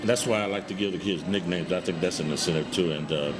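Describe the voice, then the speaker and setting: Someone with an American accent speaks at a very fast pace with fairly even intonation, amid noticeable background noise and audible room echo. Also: man. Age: 60s. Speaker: public address announcer. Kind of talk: casual interview. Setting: live at a restaurant.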